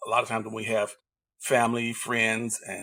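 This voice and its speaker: A man with an American accent speaks at a moderate pace and medium pitch, his tone bright and sharp, on a very clean recording with a silent background. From Indiana and Mississippi, US. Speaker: leadership coach and veteran. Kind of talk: interview.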